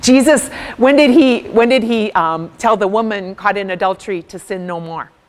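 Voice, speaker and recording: Her pitch fairly high, a woman talks at a moderate pace. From US Midwest, rural farm background. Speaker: speaker. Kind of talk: workshop talk. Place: hall.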